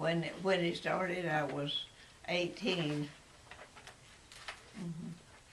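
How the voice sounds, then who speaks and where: A woman with a Texas accent speaks at a very slow pace in a fairly low pitch with fairly even intonation. Noticeable background noise is present. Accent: Texas Southern. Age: 80s+. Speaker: grandmother interviewed about her life. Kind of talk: interview answer.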